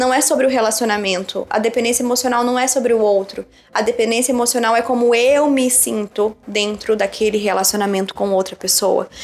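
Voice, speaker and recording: A woman speaks at a fairly quick pace in a fairly high pitch, her loudness very even and her speech broken by hardly any pauses. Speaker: psychologist and relationship coach. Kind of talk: casual chat. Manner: fast; animated.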